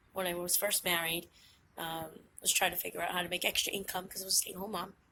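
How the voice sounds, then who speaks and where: In a Massachusetts accent, a woman talks at a medium pitch with fairly even intonation. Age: 40s. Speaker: witch and vlogger. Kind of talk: casual vlog monologue. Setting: outdoors on a hike and bike trail.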